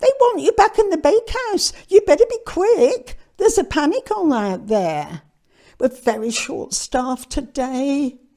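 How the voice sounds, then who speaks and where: A woman uses a put-on character voice pitched high, with very wide pitch swings. She speaks at a moderate pace. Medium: read story.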